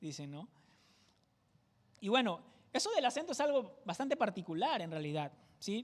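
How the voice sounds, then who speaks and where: Long, frequent pauses break up the speech, which is in a Peruvian Amazon accent. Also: moderate pace. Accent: Peruvian jungle (selva) accent, sing-song. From Peru, Amazon jungle region (Tingo María). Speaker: pastor. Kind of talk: sermon.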